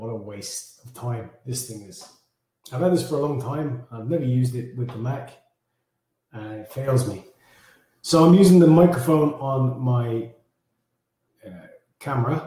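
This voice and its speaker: A man of medium pitch talks at a moderate pace with ordinary pitch variation and big swings in loudness. Long, frequent pauses and audible room echo mark the recording. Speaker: fitness challenge coach. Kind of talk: live stream briefing. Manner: casual, halting.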